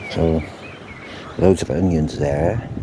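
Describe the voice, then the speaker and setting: Noticeable background noise underlies a man who talks at a very slow pace. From Wales. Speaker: gardener vlogger. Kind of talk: casual video walkthrough. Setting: outdoors in a garden. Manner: chatty, rambling.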